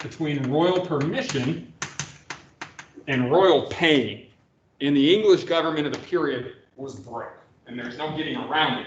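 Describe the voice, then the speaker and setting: In a room with audible echo, a man with a fairly high pitch speaks at a moderate pace with lively intonation, big swings in loudness, and long, frequent pauses. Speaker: history professor. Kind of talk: lecture.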